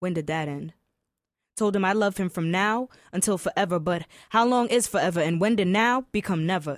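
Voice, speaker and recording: At a fairly quick pace, a woman speaks at a medium pitch with ordinary pitch variation in a very clean recording with a silent background. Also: dry, close sound with no echo. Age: young. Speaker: spoken word poet. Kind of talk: spoken word poetry performance; interview. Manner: articulate.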